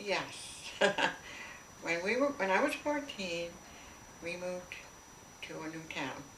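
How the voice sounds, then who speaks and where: A woman speaks at a fairly slow pace and medium pitch, with very wide pitch swings and big swings in loudness. Long, frequent pauses break up her speech over noticeable background noise. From Canada. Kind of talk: interview answer.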